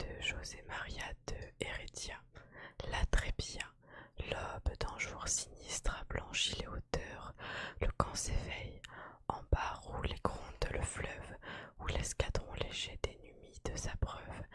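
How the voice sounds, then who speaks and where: A woman whispers in a calm tone at a very slow pace over noticeable background noise. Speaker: ASMR content creator. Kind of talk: ASMR poetry reading and counting to help sleep. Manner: whispered, calm, slow.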